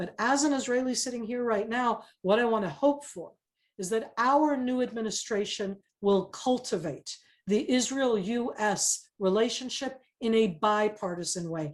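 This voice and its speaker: A woman with an American accent, fairly high-pitched, at a moderate pace, with ordinary pitch variation and a normal speaking voice. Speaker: former government spokesperson and retired army officer. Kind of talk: webinar panel discussion.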